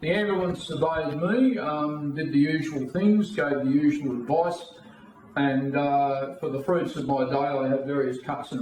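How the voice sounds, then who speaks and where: Someone with an Australian accent speaks at a moderate pace with ordinary pitch variation, amid noticeable background noise and audible room echo. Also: man. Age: 60s. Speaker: political party leader. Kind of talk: interview.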